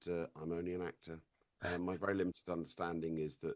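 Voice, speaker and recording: A man speaks with an RP accent. His pitch is very deep and low. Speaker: actor. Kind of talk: interview. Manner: halting, with frequent repetitions.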